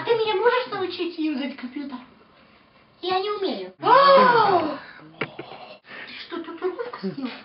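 In a put-on character voice with an extremely high pitch, a man speaks at a moderate pace with long, frequent pauses and a slight echo. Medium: stage. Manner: nagging, melodramatic.

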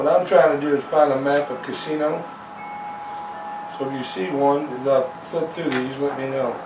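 Behind a man's fairly high pitch there is noticeable background noise. His intonation stays fairly even. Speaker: interviewer and biographer. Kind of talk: interview questions. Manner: casual, conversational. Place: home room.

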